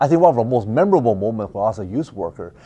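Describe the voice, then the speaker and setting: Very wide pitch swings from a man with a dark, mellow tone, at a fairly quick pace. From Taiwan, then Richmond BC from age eleven. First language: Mandarin. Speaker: political candidate. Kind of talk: interview. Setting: office studio. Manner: fast when nervous.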